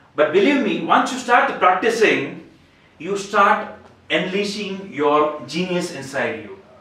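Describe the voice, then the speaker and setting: A man's high, raised, projected voice at a fairly slow pace, with lively intonation and big swings in loudness, in audible room echo and noticeable background noise. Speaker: public speaking club member. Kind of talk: prepared speech. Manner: halting with repetitions.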